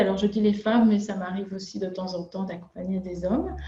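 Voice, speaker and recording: A woman speaks with a Belgian accent. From Belgium. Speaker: nutritionist and chef. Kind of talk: interview. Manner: halting, many filler sounds.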